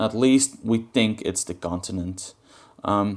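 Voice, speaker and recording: A man with a non-native accent speaks at a fairly low pitch with ordinary variation. The background is quiet. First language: not English. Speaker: gaming guide creator. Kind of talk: tutorial. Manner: halting.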